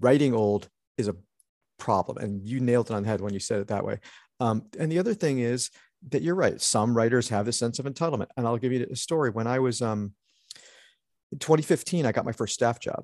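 A man with an American accent at a medium pitch and fairly quick pace, with ordinary pitch variation and long, frequent pauses. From Connecticut, US Northeast. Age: 50s. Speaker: TV writer and showrunner. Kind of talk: casual interview.

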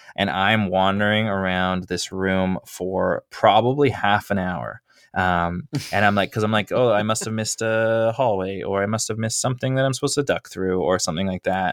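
A normal speaking voice moves at a moderate pace, showing ordinary pitch variation. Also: man, fairly low pitch for a man, dry, close sound with no echo. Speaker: podcast host. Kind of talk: casual chat.

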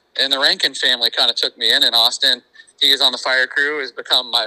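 This man talks very fast with an American accent. The sound is dry and close, with no echo. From Iowa, near Knoxville. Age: 30s. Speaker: sprint car race announcer. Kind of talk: casual interview.

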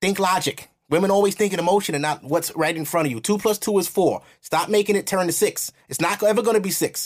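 A man with a high voice talks at a fast pace, his pitch varying an ordinary amount.

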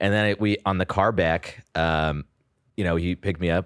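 A man with a Californian accent speaks at a very deep, low pitch. The recording is very clean, with a silent background and a dry, close sound with no echo. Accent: Californian American English. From US West Coast, San Jose (Bay Area). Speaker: comedian. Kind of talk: casual chat.

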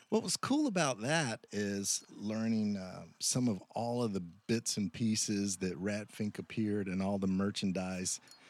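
In a very clean recording with a silent background, a man with a fairly low pitch speaks with an American accent at a fairly slow pace. It's a plain, everyday voice with ordinary pitch variation and hardly any pauses. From US South. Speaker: podcast co-host, designer. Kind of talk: casual chat; scripted promo.

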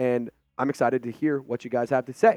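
Animated and fairly quick, a man talks in a dry, close sound with no echo. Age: 20s. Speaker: sports YouTube host. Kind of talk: casual sports commentary video.

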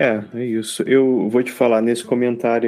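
A dark, mellow tone in a monotone, flat intonation at a moderate pace. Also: man. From Brazil, Rio de Janeiro. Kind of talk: casual chat.

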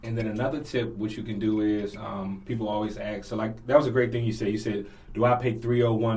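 Room echo can be heard around the speaker. He is a man with an American accent. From Washington D.C. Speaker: financial literacy coach. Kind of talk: casual interview. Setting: studio.

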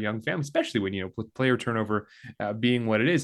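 A man with a Canadian accent at a very fast pace, medium pitch and ordinary pitch variation, over a quiet background. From Calgary, western Canada. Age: 30s. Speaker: sports management professor. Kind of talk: casual interview.

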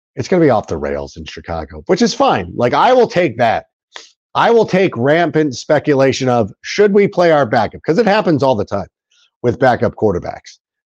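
This man, with an American accent, talks at a fairly quick pace with a fairly high pitch, very wide pitch swings and vocal fry. The sound is dry and close with no echo, over a quiet background. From Southern California. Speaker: sports podcast host. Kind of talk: casual chat.

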